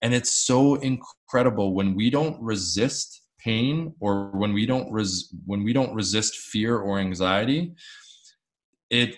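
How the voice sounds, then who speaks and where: A man speaks fairly slowly in a plain, everyday voice. His pitch is fairly low, with ordinary variation. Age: 30s. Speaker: mental health advocate. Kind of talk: interview.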